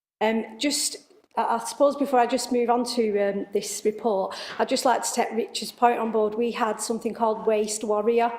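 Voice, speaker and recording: In a northern English accent, a woman speaks at a moderate pace with a fairly high pitch and flat, monotone intonation. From northern England, Wigan. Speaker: local council service head. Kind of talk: committee meeting report. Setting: council committee meeting. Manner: hesitant, many fillers.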